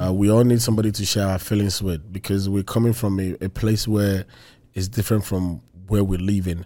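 A man speaks in a Nigerian accent with a dark, mellow tone at a moderate pace. The recording is very clean with a silent background. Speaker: podcast co-host. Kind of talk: casual chat. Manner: animated.

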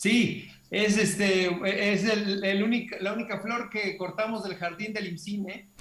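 Against noticeable background noise, a high-pitched man speaks in a flat monotone at a fairly slow pace with hardly any pauses. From Mexico, Hermosillo, Sonora. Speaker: film director. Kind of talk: interview.

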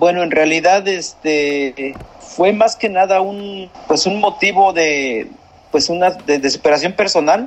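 At a very slow pace, a man with a high pitch talks with ordinary pitch variation. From central Mexico, San Juan del Río (Querétaro). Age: 40s. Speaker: migrant worker and distance-learning university graduate. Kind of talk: interview. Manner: halting, many repeated words.

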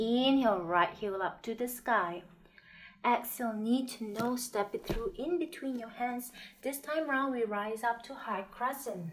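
A woman with an unremarkable speaking voice talks at a fairly slow pace and a fairly high pitch, with ordinary pitch variation. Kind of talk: guided yoga class with breath cues and meditation. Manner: calm, soothing, unhurried, gently instructive; rhythmic cueing, short commands paced with the breath.

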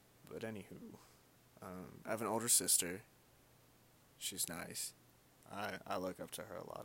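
A man's voice carries vocal fry and a bright, sharp tone. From Kentucky, Louisville. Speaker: podcaster. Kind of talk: solo casual monologue. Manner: halting, stuttering.

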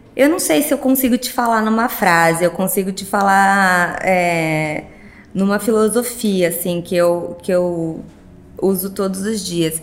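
Speaking at a fairly slow pace, a woman has an unremarkable speaking voice of medium pitch with ordinary pitch variation. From Sorocaba, São Paulo state, Brazil. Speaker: plastic surgeon. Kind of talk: casual interview chat.

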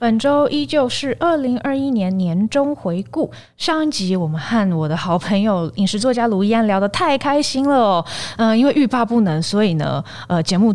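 A woman talks at a moderate pace with very wide pitch swings. Her voice is fairly high. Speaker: podcast host. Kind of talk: casual chat.

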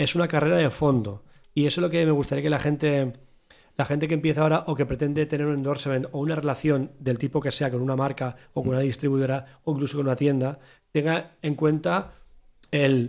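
A normal speaking voice moves at a fairly quick pace with ordinary pitch variation and very even loudness on a very clean recording with a silent background. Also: man. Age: 40s. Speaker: podcast host, drummer. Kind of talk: casual chat.

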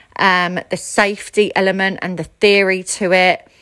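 A woman speaks in a bright, sharp tone. Her pace is fairly slow. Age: 30s. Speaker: aesthetics practitioner. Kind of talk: casual advice monologue.

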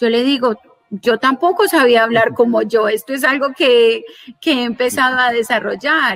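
This woman speaks with a high pitch. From Colombia. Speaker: lawyer and digital business and personal finance educator. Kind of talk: interview.

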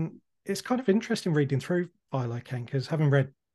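A man speaks against a quiet background. His tone is dark and mellow, and somewhat breathy. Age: 30s. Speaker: podcast host. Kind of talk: interview.

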